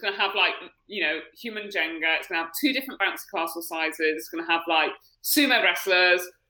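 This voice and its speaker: Bright and sharp in tone, a woman with an English accent speaks at a very fast pace, her fairly low voice showing ordinary pitch variation. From UK. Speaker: triathlete. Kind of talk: casual chat. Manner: animated.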